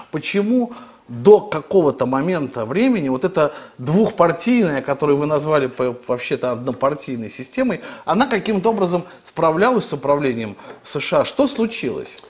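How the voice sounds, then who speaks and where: A man with a fairly high pitch speaks at a moderate pace, his pitch swinging very widely. Noticeable background noise is present. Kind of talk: interview discussion on politics. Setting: studio.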